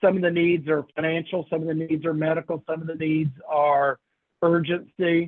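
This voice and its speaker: With a Kentucky accent, a man speaks at a fairly high pitch. His pace is moderate. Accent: Kentucky Southern US. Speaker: senior living sales trainer. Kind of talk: training workshop lecture. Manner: informal, conversational.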